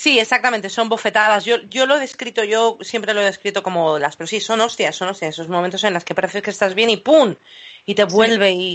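A woman's unremarkable speaking voice at medium pitch, fairly quick, with ordinary pitch variation. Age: 40s. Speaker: podcast host. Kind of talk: casual chat.

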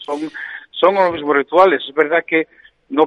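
The speaker is a man with a fairly high pitch and a moderate pace. He uses a normal speaking voice. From Oviedo, Asturias, Spain. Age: 50s. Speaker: football coach. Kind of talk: radio interview.

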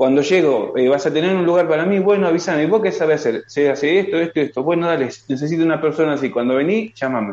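This man talks very fast with hardly any pauses, his loudness very even. His pitch sits fairly high and varies in an ordinary way. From Argentina. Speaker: construction worker, immigrant. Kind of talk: video call interview. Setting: video call.

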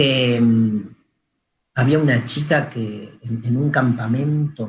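With a Rioplatense accent, the voice sounds somewhat breathy and shows ordinary pitch variation. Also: man. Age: 50s. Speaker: radio host, philosopher. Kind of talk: casual radio chat.

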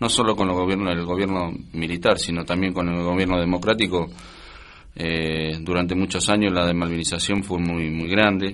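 Speaking fairly quickly, a man with a very deep, low voice keeps a flat, monotone intonation. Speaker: war veteran. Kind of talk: interview. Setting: studio.

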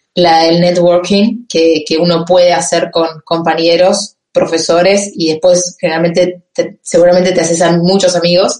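Speaking with hardly any pauses, a woman keeps a monotone, flat intonation at a fairly low pitch. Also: fairly slow pace. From Argentina, Campana (Buenos Aires province). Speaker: economist working in finance. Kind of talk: interview. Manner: halting.

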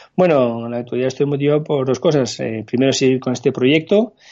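Speaking fairly quickly, a man holds a medium pitch with fairly even intonation. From France. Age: 30s. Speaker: tech startup founder and CEO. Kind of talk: interview. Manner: halting.

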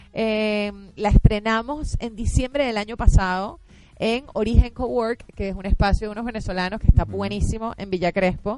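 Her voice is an ordinary speaking voice, fairly high for a woman, with ordinary pitch variation. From Venezuela. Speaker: actress. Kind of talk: interview. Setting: radio studio with cameras.

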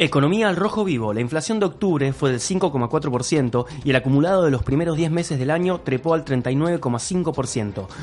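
Over noticeable background noise, a man with a fairly high pitch and lively intonation talks at a fairly slow pace with very even loudness and hardly any pauses. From Argentina, Córdoba. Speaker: podcast co-host. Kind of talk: casual chat.

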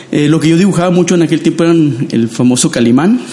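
Noticeable background noise under a man's very fast speech. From Mexico, Matamoros, Tamaulipas. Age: 50s. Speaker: designer and illustrator. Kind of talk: interview.

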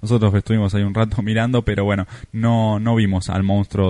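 Speaking with a Rioplatense accent, a man uses a dark, mellow tone at a fairly low pitch, a moderate pace and a monotone, flat intonation. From Argentina. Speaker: travel podcaster and writer. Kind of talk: recorded travel account.

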